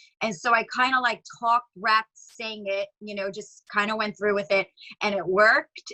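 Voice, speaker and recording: With a New York accent, a woman talks at a fairly high pitch. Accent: New York, sounds Long Island-ish. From New York, the Bronx. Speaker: singer and rapper. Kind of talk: interview. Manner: casual, filler-heavy.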